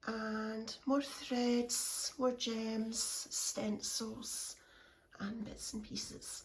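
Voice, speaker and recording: This woman has a high pitch and speaks with a Scottish accent. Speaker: craft vlogger. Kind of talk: casual room tour. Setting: at home in craft room.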